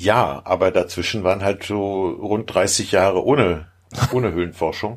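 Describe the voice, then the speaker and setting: An ordinary speaking voice comes from a man pitched fairly low. He moves at a fairly slow pace with ordinary pitch variation. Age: 50s. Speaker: caver. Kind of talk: casual chat.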